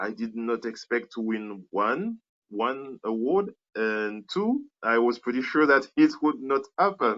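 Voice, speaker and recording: Speaking at a very slow pace in a French accent, a man keeps a medium pitch with ordinary pitch variation. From Martinique. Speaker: animator and filmmaker. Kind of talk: interview. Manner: halting, many fillers.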